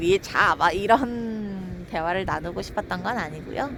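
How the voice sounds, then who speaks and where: A woman's very slow speech over noticeable background noise. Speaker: live streamer. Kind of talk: casual live stream chat. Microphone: far from the device.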